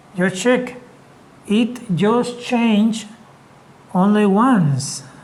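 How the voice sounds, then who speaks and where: The speech goes at a very slow pace. Noticeable background noise runs underneath it. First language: Spanish. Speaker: English teacher. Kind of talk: lecture.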